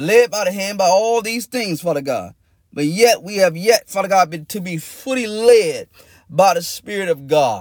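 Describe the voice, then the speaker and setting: A man's high voice at a moderate pace. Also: ordinary pitch variation. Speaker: pastor. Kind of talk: fervent prayer, pleading and repetitive. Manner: impassioned, urgent, rhythmic; repeats phrases, with tongues-like utterances.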